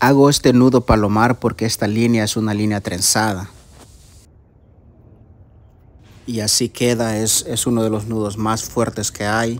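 The speaker is a man with monotone, flat intonation. His pace is fairly slow. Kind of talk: tutorial. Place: waterside. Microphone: phone near.

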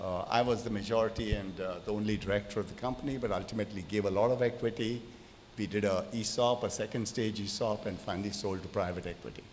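A man at a very fast pace and a fairly low pitch, with fairly even intonation and light background noise. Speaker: speaker. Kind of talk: panel discussion answer. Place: hall. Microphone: handheld.

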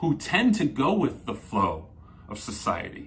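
A somewhat breathy man's voice at a very slow pace, with very wide pitch swings. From New Jersey. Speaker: psychotherapist; coach explaining personality types. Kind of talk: solo video talk. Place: home room.

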